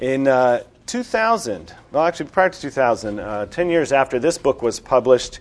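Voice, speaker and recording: A man with a plain, everyday voice speaks at medium pitch and a fairly slow pace, with ordinary pitch variation. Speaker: seminar organizer. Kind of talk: introduction. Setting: stage with audience.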